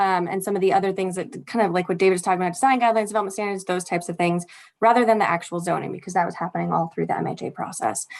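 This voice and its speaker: Very fast speech comes from a woman with a medium pitch and ordinary pitch variation. The background is quiet. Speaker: city community planner. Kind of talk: presentation at online community meeting. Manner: hesitant with many fillers.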